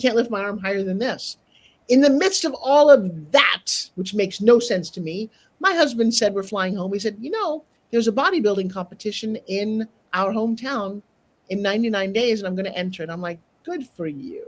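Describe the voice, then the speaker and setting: Speaking at a fairly quick pace, a woman with a fairly high, somewhat breathy voice uses lively intonation and big swings in loudness. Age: 60s. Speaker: TV host and sales trainer. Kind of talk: interview storytelling. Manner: animated.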